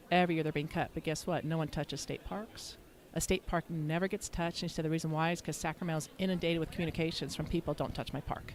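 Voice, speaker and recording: A woman with an American accent at very fast pace, very deep, low pitch and fairly even intonation. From California. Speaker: app founder and advocate, former trial attorney. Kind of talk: interview. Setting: convention center.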